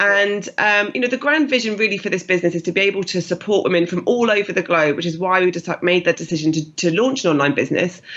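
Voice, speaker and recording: A woman with a British accent speaks very fast at medium pitch, with lively intonation and hardly any pauses. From UK. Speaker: fitness business founder. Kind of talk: interview.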